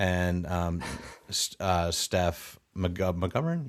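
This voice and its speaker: A man's very deep, low voice holds fairly even intonation in a very clean recording with a silent background. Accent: Chicago. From US Midwest, Chicago. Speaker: actor and improv comedian. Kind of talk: casual podcast interview.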